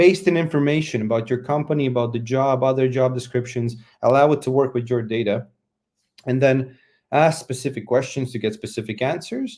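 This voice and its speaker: A man with a Latvian accent speaks at medium pitch and a fairly quick pace. His intonation is fairly even, and the recording is very clean with a silent background. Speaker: conference speaker. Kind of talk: conference talk.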